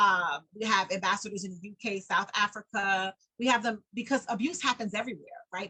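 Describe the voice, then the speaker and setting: Bright, sharp tone from a woman in a New York accent, medium pitch, fairly quick pace, ordinary pitch variation. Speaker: domestic abuse survivor and nonprofit founder. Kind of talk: interview. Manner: fast; animated.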